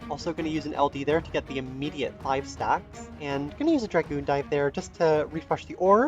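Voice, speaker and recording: Music plays in the background as a man speaks at a moderate pace. His pitch is fairly high, with ordinary pitch variation. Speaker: mobile game commentator. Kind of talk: gameplay commentary.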